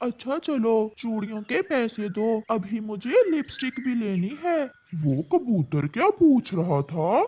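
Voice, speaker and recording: A cartoonish character voice, female-sounding and fairly high, at a fairly slow pace with very wide pitch swings and hardly any pauses. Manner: demanding, pushy.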